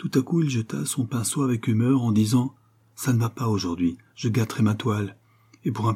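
Someone reads aloud in a natural voice.

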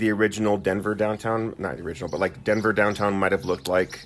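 Ordinary pitch variation marks an ordinary speaking voice delivered at a fairly quick pace. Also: man. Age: 30s. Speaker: podcast co-host, teacher. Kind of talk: casual chat.

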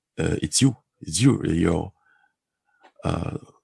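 A man speaks with a dark, mellow tone and a strong French accent, his voice sounding dry and close with no echo. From Guadeloupe. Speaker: community association director, game master. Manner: halting, searching for English words.

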